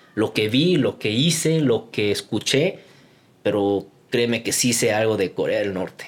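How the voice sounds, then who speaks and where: A man's medium-pitched voice at a fairly slow pace, with lively intonation. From Guatemala. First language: Korean (speaking Spanish). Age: 20s. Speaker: YouTuber and entrepreneur. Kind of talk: casual chat.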